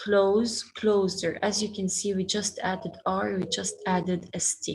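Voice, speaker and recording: A woman's voice with vocal fry and fairly even intonation. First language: Arabic. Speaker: schoolteacher. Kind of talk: online class lesson.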